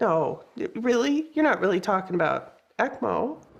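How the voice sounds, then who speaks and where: A squeaky put-on character voice with a fairly high pitch moves at a moderate pace. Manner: incredulous.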